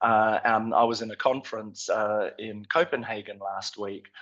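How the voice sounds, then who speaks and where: In an Australian accent, a man talks at a fairly slow pace with a fairly low pitch. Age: 50s. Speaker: nutrition scientist. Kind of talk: conference presentation. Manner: halting, many fillers.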